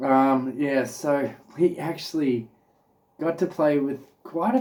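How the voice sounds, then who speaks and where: There is ordinary pitch variation as a man speaks at a fairly slow pace. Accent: Australian. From Australia. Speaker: vlogger. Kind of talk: casual chat. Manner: casual, filler-heavy.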